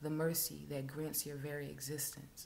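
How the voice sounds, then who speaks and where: With light background noise, a woman speaks at a moderate pace in a very deep, low pitch, monotone and flat, with vocal fry. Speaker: poet. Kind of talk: spoken word poetry reading. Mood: intense, somber. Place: home room. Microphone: webcam.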